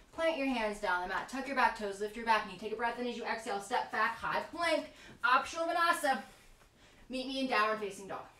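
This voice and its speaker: A woman speaks at a fairly quick pace in a fairly high pitch with lively intonation, and audible room echo can be heard. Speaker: yoga teacher. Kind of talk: guided yoga class. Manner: fast.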